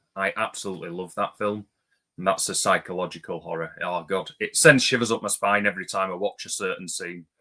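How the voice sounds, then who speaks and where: Fairly quick speech with an English accent. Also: man. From England. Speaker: movie YouTuber. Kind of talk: casual chat.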